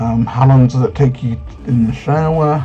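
Faint music plays in the background as a man talks at a fairly slow pace with ordinary pitch variation. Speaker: youtuber. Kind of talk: casual vlog chat. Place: home room. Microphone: webcam.

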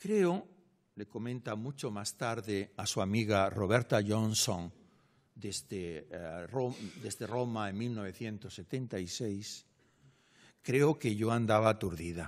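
This man speaks at a very slow pace with long, frequent pauses. His loudness swings widely. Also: ordinary pitch variation, quiet background. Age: 60s. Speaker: literature professor. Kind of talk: lecture. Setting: lecture hall with audience. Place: hall. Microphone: podium.

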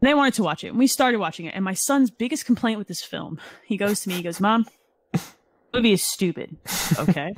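Energetic and animated, a somewhat breathy woman with a medium pitch talks at a very fast pace broken by long, frequent pauses. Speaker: video game podcast co-host. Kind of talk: casual chat. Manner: energetic, animated.

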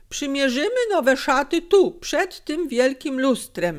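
In a put-on character voice, a woman speaks high with very wide pitch swings. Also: fairly slow pace. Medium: read story. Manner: fawning, unctuous.

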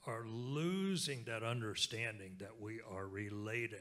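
A man with an American accent, medium in pitch and very slow, with lively intonation and a bright, sharp tone. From Oklahoma, Lenape (Delaware Tribe) community; Oklahoma. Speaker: speaker. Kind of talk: keynote talk on stage. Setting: stage with audience. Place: hall. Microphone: handheld.

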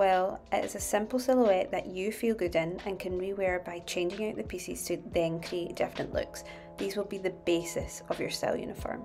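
A woman with a Scottish accent speaks at a moderate pace with hardly any pauses, medium pitch and ordinary pitch variation, over music in the background. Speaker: fashion YouTuber. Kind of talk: casual style tutorial to camera.

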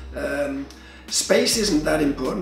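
Speech at a moderate pace carries audible room echo, with faint music in the background. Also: man. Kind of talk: interview answer. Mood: relaxed, amused. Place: workshop.

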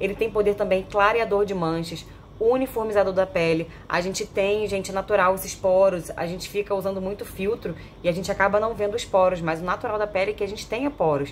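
Fairly quick speech from a woman with fairly even intonation over light background noise. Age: 30s. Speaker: product reviewer. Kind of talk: sales pitch. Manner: chatty. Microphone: phone near.

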